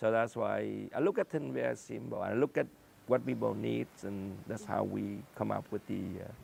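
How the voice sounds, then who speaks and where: This man speaks with a Vietnamese accent. His pace is moderate. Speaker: scientist and entrepreneur. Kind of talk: interview. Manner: halting.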